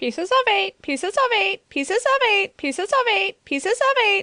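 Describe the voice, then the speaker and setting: A put-on character voice, robotic and squeaky, comes out shrill at an extremely high pitch. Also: moderate pace. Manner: repetitive, mechanical.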